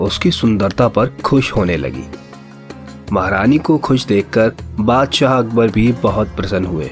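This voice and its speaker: Over music in the background, a man with a medium pitch speaks with very wide pitch swings. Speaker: voice artist. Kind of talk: children's story narration.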